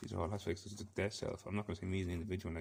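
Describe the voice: Gravelly and full of vocal fry, a man's low-pitched voice races along at a very fast pace. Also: slightly mellow tone.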